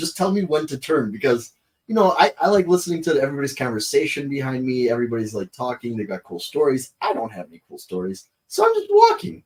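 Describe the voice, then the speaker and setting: A man talks very fast at a fairly high pitch. His pitch swings very widely and his loudness shifts in big swings. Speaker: golf and sneaker podcast co-host. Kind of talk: casual chat.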